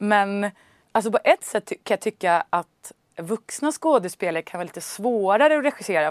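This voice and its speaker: An ordinary speaking voice with lively intonation, dry, close sound with no echo, and a very clean recording over a silent background. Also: woman. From Stockholm, Sweden. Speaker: actress and film director. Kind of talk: interview. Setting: studio.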